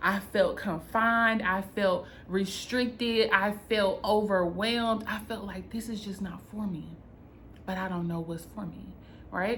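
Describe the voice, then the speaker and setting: A woman's animated voice with a North Carolina accent at a fairly slow pace, with audible room echo. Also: medium pitch for a woman. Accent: Southern US (North Carolina), country. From North Carolina, US South. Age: 30s. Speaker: content creator and business coach. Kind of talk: personal vlog storytelling.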